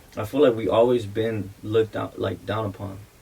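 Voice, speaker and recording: At moderate speed and medium pitch, a man talks in a somewhat breathy voice with fairly even intonation. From South Central Los Angeles, Mexican-American. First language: Spanish. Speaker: music producer. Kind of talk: casual chat.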